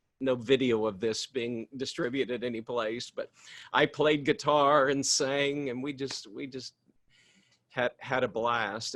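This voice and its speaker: Heard dry and close with no echo, a man speaks in a normal speaking voice at a medium pitch with ordinary pitch variation. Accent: American. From US Midwest, Missouri. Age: 60s. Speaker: ministry director. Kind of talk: casual talk to ministers in a webinar.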